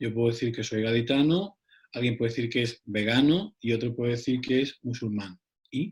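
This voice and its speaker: At a moderate pace, a man with an Andalusian accent speaks in a somewhat breathy voice at a medium pitch with ordinary pitch variation. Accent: Andalusian (Cádiz). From Cádiz, southern Spain. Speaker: psychologist. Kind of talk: round-table discussion.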